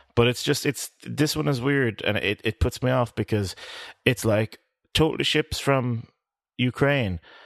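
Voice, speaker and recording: A man with an Irish accent, medium pitch, fairly slow pace and ordinary pitch variation, against a quiet background. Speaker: podcast co-host. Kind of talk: casual chat.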